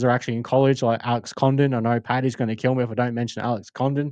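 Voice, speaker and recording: Talking at a very fast pace, a man with an Australian accent keeps a medium pitch and a monotone, flat intonation. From Australia, Adelaide. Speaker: sports podcast host. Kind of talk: casual podcast monologue. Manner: halting, many fillers.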